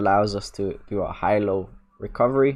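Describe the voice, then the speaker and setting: A man with an ordinary speaking voice talks at a moderate pace. His pitch is fairly low and his intonation fairly even. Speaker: jiu jitsu coach. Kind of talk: live online class.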